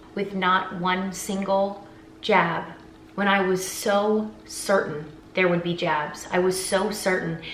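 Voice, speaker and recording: A woman at a medium pitch speaks very slowly, with audible room echo and noticeable background noise. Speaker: singer and vlogger. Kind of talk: emotional vlog monologue. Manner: halting, stuttering.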